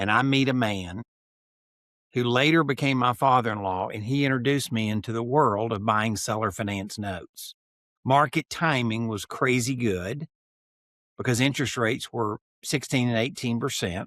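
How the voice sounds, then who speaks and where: An ordinary speaking voice, delivered at a moderate pace with ordinary pitch variation. The recording is very clean, with a silent background and a dry, close sound that has no echo. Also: man, medium pitch for a man. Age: 60s. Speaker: note and land investor. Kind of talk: podcast interview.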